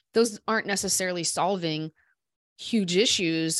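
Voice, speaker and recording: A woman with a Midwestern US accent speaks at a fairly low pitch with ordinary pitch variation, her voice dry and close with no echo on a very clean recording against a silent background. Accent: US Midwest. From Iowa, Des Moines. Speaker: business founder and CEO. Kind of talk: casual interview.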